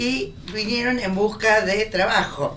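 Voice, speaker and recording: Audible room echo surrounds this female speaker. Background noise is noticeable too. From Argentina, Buenos Aires. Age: 90s. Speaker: professor. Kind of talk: oral history interview.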